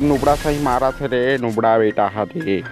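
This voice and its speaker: Music plays behind a man speaking with a Chhattisgarhi accent. His pitch varies in an ordinary way. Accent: Chhattisgarhi-accented Hindi. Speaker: gaming commentator. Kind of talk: energetic game commentary.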